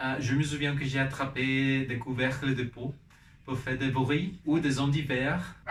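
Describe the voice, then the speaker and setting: This man talks at a fairly slow pace in a monotone, flat intonation. Noticeable background noise and audible room echo fill the recording. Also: medium pitch for a man. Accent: Spanish. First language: Spanish (speaking French). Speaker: vlogger and musician. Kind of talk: personal vlog in a learned language. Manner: halting, with fillers and restarts.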